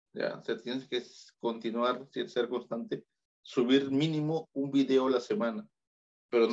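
Medium in pitch, a man talks at a moderate pace with ordinary pitch variation. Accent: Peruvian. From Peru. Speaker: YouTuber and photographer. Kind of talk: casual interview.

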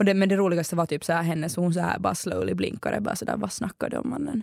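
Talking very fast with hardly any pauses, a woman with a fairly low pitch and vocal fry uses lively intonation in a dry, close recording with no echo. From Finland, Ekenäs. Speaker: student radio host. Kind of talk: casual chat.

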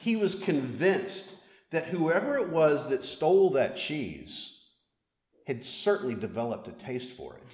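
A man with a Mississippi accent talks at a fairly slow pace in a high-pitched voice, with lively intonation and big swings in loudness. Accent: Southern US (Mississippi). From Mississippi, US South. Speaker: priest, storyteller. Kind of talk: live storytelling.

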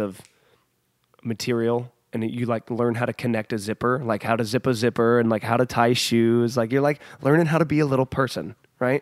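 Recorded very cleanly against a silent background, a man's voice comes through dry and close with no echo. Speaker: podcast host. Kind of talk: casual chat. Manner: loud, high energy, talkative; animated.

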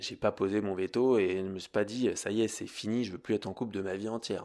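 On a very clean recording with a silent background, a man uses an ordinary speaking voice, fairly low in pitch, with fairly even intonation at a moderate pace. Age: 30s. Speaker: yoga teacher and podcast host. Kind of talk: casual monologue. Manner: conversational.

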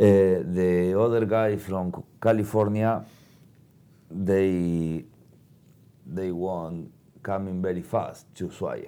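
In a very clean recording with a silent background, a man with a Spanish accent speaks very slowly in a dark, mellow tone, his pitch very deep and low, his intonation fairly even, and his pauses long and frequent. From Argentina. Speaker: motorcycle traveler. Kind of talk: interview. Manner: halting.

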